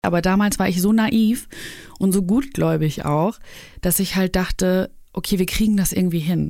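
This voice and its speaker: At a medium pitch and moderate pace, a woman speaks in a dark, mellow tone with ordinary pitch variation and very even loudness. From Germany, Cologne. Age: 30s. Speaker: YouTuber. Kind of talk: casual interview.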